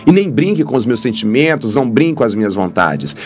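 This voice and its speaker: A man's voice with faint background music. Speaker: priest. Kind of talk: sermon-style reflection. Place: studio. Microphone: studio mic.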